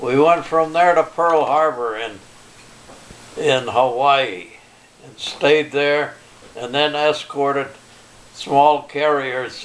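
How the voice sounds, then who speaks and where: Over noticeable background noise, a man with a fairly high pitch speaks at a very slow pace, his loudness swinging widely and his speech broken by long, frequent pauses. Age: 80s+. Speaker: Navy veteran, retired electrician. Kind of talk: interview answer.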